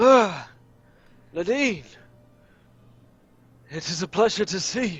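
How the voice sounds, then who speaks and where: Putting on a character voice, a man speaks at a high pitch and a fairly slow pace with long, frequent pauses. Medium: actual play. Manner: measured, solemn.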